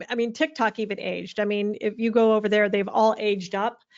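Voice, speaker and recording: Speaking at a fairly quick pace, this woman has a fairly high pitch. Hers is a plain, everyday voice. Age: 60s. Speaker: social media marketing speaker. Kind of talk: webinar Q&A answer.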